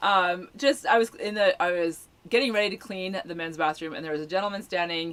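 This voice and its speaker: The speaker talks at a fairly quick pace in an ordinary speaking voice. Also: woman. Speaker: full-time RVer and campground workamper, video channel host. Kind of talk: casual live chat. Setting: livestream video.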